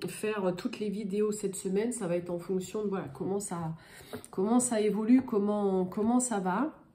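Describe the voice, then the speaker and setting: The voice moves at a fairly slow pace with ordinary pitch variation, over noticeable background noise. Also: woman. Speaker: tarot card reader. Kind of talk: astrology guidance reading. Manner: hesitant, many filler sounds.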